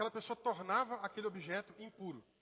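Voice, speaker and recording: A man speaks in a raised, projected voice with a bright, sharp, animated tone. His pace is moderate. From Brazil, Rio de Janeiro, raised in interior Minas Gerais. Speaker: pastor. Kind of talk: sermon. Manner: conversational, animated.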